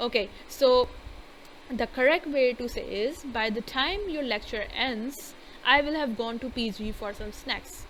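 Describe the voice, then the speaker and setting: Her pace fairly slow, a woman talks in a Pakistani accent. Her pitch is high, with ordinary pitch variation. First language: Urdu. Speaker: English grammar teacher. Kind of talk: lecture. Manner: hesitant, many fillers.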